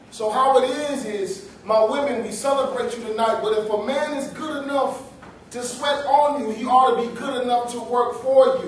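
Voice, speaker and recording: A man's extremely high voice with fairly even intonation, audible room echo and light background noise. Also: moderate pace. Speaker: pastor and spoken-word poet. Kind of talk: performed spoken-word poetry with a sermon-like message, refrain repeated. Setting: small venue, live audience. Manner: rhythmic, emphatic, preacherly delivery with call-and-response repetition. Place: hall.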